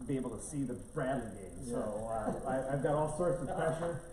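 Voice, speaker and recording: At a fairly quick pace, a man with a fairly high pitch speaks amid audible room echo and noticeable background noise. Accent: American. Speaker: economic development presenter. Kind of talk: public presentation at board meeting. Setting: county board meeting room with audience. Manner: halting, many fillers.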